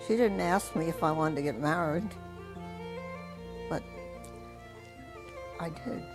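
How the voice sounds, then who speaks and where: A woman speaks with music in the background. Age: 80s+. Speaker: war bride. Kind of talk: interview answer.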